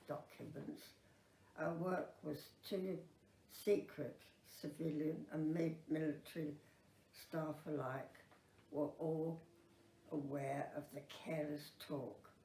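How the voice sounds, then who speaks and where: Very slow and somewhat breathy, a woman speaks with a very deep, low pitch and a dark, mellow tone. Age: 80s+. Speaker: Second World War veteran. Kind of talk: oral history memoir.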